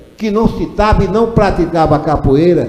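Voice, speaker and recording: The speech is fairly slow, with lively intonation. Noticeable background noise and audible room echo fill the recording. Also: man. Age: 70s. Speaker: retired teacher and local historian. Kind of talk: ceremony speech.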